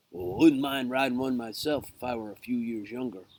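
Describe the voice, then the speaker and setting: Using a put-on character voice, a man speaks at a medium pitch and a fairly quick pace. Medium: read story. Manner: blustery.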